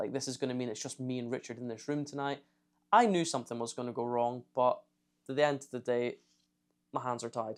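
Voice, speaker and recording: In a very clean recording with a silent background, a man with a Scottish accent and medium pitch talks at a fairly quick pace with fairly even intonation. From Scotland. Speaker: YouTuber, ex-Navy trainee. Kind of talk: storytime vlog. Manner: casual, conversational.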